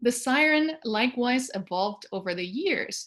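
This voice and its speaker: Lively in intonation, a woman with a Spanish accent speaks in a fairly high voice. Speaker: archaeologist. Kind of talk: lecture. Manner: hesitant fillers.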